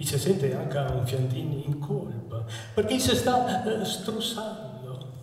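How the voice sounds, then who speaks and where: A man's fairly high voice with very wide pitch swings, in audible room echo. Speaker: author and performer. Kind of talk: humorous dialect poetry performance. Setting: live outdoor evening event. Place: church.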